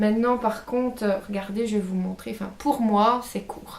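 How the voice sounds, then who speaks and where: A woman speaks slightly slowly in a fairly high pitch with fairly even intonation. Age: 20s. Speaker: beauty and lifestyle vlogger. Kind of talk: casual haul video. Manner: hesitant, many fillers.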